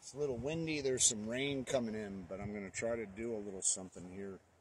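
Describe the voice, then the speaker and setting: A man's fairly low voice with ordinary pitch variation, dry with no echo, over noticeable background noise. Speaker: vlogger. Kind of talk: casual vlog chat. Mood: earnest, frustrated. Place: garden.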